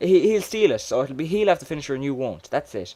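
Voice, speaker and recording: This is a man with an Irish accent. The recording is very clean, with a silent background. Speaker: gamer. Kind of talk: casual gameplay commentary. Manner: stuttering.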